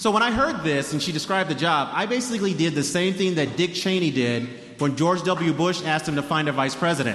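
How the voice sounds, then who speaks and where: Speaking fast with hardly any pauses, a man uses a fairly high pitch and lively intonation at very even loudness, with audible room echo and noticeable background noise. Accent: American. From Denver, Colorado. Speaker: author and food historian. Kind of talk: talk to a live audience.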